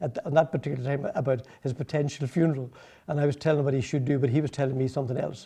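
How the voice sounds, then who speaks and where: The man's voice is somewhat breathy, with a dark, mellow tone. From Northern Ireland, County Tyrone. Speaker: political activist. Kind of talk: public speech. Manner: halting, many repetitions.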